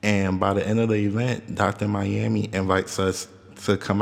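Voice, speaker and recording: Over noticeable background noise, the speech is fairly slow with monotone, flat intonation. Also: man. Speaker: solo podcast host. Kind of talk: casual monologue storytelling. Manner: casual with fillers.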